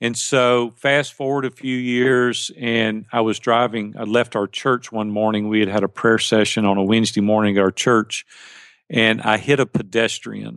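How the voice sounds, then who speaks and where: Speaking at a moderate pace against a quiet background, a man with a Southern US accent holds a medium pitch in a monotone, flat delivery, the sound dry and close with no echo. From US South, Tennessee (near Nashville). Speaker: life and business coach. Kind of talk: interview.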